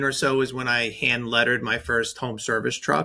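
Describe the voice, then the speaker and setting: A man's medium-pitched, bright, sharp voice with a slight New York accent, ordinary pitch variation and a moderate pace. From New York, Staten Island. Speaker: branding agency owner, designer. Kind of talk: podcast interview.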